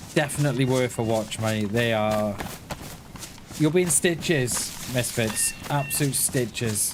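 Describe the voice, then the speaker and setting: Audible room echo and noticeable background noise surround a man with a Welsh accent. He talks at a fairly slow pace and medium pitch, with ordinary pitch variation. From Wales. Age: 40s. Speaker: gaming streamer. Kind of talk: live stream chat while gaming. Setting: live stream. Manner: casual, repetitive with restarts.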